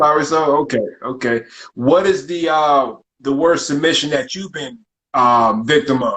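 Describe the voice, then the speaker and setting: This is a normal speaking voice at a fairly slow pace. Its pitch varies in an ordinary way. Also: man, fairly high pitch for a man. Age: 30s. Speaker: podcast host. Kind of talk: casual podcast interview.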